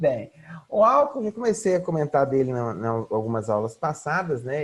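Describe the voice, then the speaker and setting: Somewhat breathy and fairly high, a man's voice moves through very wide pitch swings. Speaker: psychology lecturer. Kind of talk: online lecture. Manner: halting, filler-heavy.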